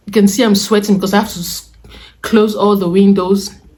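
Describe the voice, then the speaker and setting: A woman speaks at a fairly quick pace. Her medium-pitched voice is somewhat breathy. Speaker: vlogger. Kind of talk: casual vlog talk. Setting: indoors at home, windows closed.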